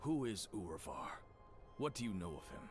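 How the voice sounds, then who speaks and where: A man speaks in a put-on character voice at a medium pitch, with clear music playing in the background. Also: moderate pace. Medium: video game. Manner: blunt, terse.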